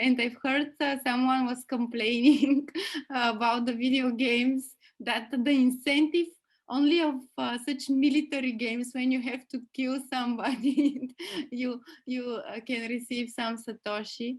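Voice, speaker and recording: A woman with a strong Bulgarian accent speaks at a fairly slow pace in a high pitch, her intonation monotone and flat. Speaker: podcast host. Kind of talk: interview. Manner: halting, many fillers.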